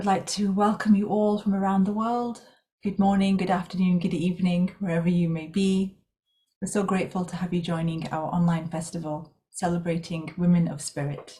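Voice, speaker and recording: At a moderate pace, a woman speaks in a somewhat breathy, dark, mellow tone at medium pitch. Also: fairly even intonation. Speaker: festival host. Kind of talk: event welcome address.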